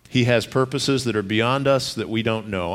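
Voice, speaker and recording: Audible room echo surrounds a man's voice. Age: 40s. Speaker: pastor. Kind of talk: sermon.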